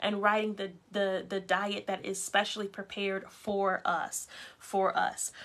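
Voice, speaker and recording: A woman speaks at a fairly slow pace and a medium pitch. Her tone is bright and sharp. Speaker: prayer group leader. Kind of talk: devotional talk. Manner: halting.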